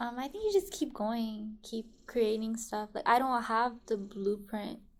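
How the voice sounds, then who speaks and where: Soft-spoken and fairly high in pitch, a woman talks at a fairly slow pace with ordinary pitch variation. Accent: American. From Richmond, California, US. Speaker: musician and rapper. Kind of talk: interview conversation.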